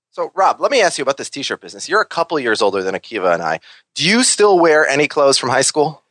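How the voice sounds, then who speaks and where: A man with an American accent talks very fast at a fairly high pitch, with very wide pitch swings and vocal fry. The sound is dry and close, with no echo. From Minnesota. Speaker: podcast co-host and guest. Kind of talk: casual chat.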